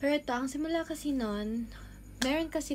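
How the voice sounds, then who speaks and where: A woman's somewhat breathy voice shows ordinary variation in pitch. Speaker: cosplayer and vlogger. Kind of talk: casual vlog rant. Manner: halting.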